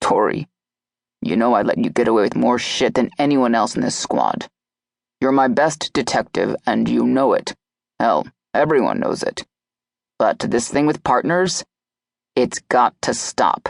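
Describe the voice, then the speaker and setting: A man uses a put-on character voice, growling and gruff at a medium pitch. His loudness stays very even, broken by long, frequent pauses. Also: moderate pace. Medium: read story. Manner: gruff, blunt, swears casually.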